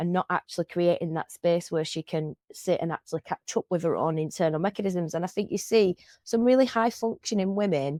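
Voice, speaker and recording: A woman speaks at a medium pitch and a moderate pace, with ordinary pitch variation and a dark, mellow tone. The recording is very clean and dry, close with no echo, over a silent background. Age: 40s. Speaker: podcast host. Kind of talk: casual chat. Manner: loud; halting.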